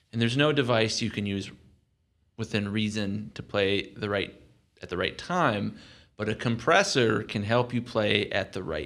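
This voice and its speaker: A man speaks with vocal fry at a fairly low pitch and a moderate pace, his intonation lively. The recording is very clean, with a silent background. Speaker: mastering engineer. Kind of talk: casual chat with technical explanation. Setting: studio.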